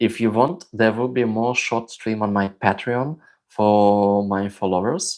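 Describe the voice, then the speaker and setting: This man has a non-native accent. Behind him is silence, on a very clean recording. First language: not English. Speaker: crossdressing vlogger. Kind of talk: live stream chat. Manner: hesitant, many fillers.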